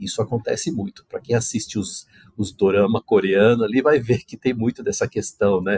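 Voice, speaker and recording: A man speaks at a moderate pace, his pitch medium. His voice is somewhat breathy. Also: ordinary pitch variation, dry, close sound with no echo. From Brazil. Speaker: corporate ethics manager. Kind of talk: podcast interview.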